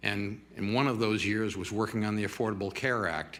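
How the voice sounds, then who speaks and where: A man speaks at a fairly low pitch with a bright, sharp tone. There is audible echo in the room. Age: 70s. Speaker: public commenter, retired advocacy executive. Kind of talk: public comment at council meeting. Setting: city council meeting.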